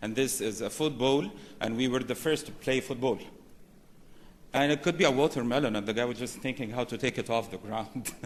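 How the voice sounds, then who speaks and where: A man with a medium pitch talks at a fairly quick pace, and his pitch varies in an ordinary way. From Egypt. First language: Arabic. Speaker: banking executive, conference speaker. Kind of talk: conference presentation.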